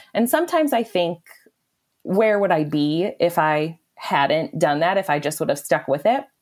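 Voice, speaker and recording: She has an ordinary speaking voice with an American accent. Her pitch is medium and her pace fairly slow. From Wisconsin, small town. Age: 30s. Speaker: food blogger. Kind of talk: interview.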